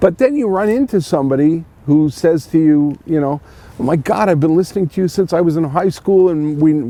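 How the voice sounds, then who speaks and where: Talking very fast, a man with a fairly high voice uses ordinary pitch variation while noticeable background noise is heard. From Montreal, Quebec. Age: 60s. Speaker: radio host. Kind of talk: interview. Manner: halting, many restarts.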